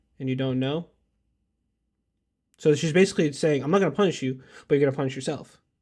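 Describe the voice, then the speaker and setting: A man talks with a dark, mellow tone. The recording is very clean and the background is silent. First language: not English. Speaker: podcast host and student. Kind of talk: casual chat.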